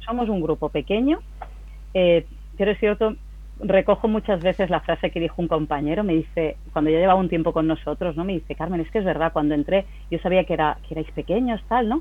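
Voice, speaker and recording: A woman with a plain, everyday voice and a fairly low pitch speaks at a fairly quick pace. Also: ordinary pitch variation. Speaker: company CEO. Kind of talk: interview. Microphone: connection problems.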